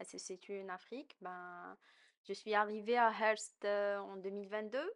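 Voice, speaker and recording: A woman speaks in a plain, everyday voice at medium pitch. Her pace is fairly slow and her intonation fairly even. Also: big swings in loudness. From Algeria. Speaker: immigrant interviewee. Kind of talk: podcast interview.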